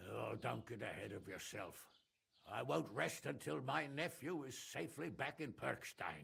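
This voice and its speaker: In a gruff put-on character voice, a man at a medium pitch talks at a moderate pace with very wide pitch swings. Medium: video game. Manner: gruff, irritable.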